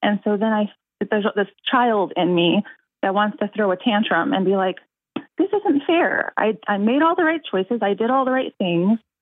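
A woman speaks in a normal speaking voice at a fairly high pitch and a moderate pace. Her intonation is lively and her loudness very even. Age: 30s. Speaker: caller. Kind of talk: call-in advice conversation. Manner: laughs often.

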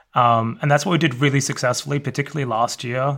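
In an Australian accent, a man speaks with fairly even intonation. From Australia, Melbourne suburbs. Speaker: magazine editor. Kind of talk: interview.

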